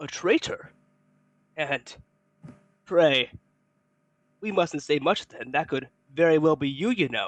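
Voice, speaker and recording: Using a put-on character voice, a man speaks quietly and breathily at a fairly high pitch and a fairly slow pace, with long, frequent pauses. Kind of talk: formal, archaic.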